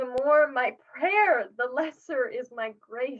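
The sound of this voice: A woman's put-on character voice, high-pitched, at a fairly slow pace with lively intonation.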